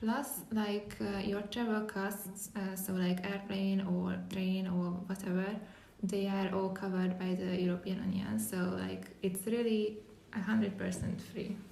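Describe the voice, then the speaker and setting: The speaker talks fairly slowly with a Hungarian accent and monotone, flat intonation. Audible room echo and noticeable background noise fill the recording. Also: woman, medium pitch for a woman. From Hungary. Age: 20s. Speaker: podcast host, volunteer. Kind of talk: casual podcast chat.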